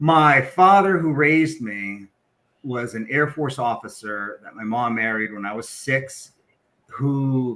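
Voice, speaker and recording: Big swings in loudness mark a man's bright, sharp tone as he talks at a very slow pace. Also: medium pitch for a man, ordinary pitch variation. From western US, military moves. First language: Spanish. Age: 50s. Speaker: corporate equity executive. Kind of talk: podcast interview, personal story.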